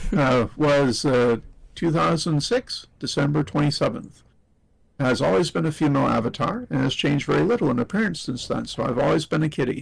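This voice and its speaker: Using vocal fry, a man with a fairly high voice talks at a fairly quick pace with lively intonation and very even loudness. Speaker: interview guest. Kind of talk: reading aloud.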